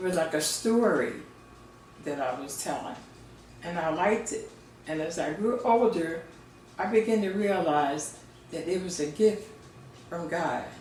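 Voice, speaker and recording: A woman with an American accent and a fairly low pitch speaks at a fairly slow pace, with ordinary pitch variation, long, frequent pauses and noticeable background noise. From Philadelphia, Pennsylvania. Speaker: poet and Sunday School teacher. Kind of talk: interview answer.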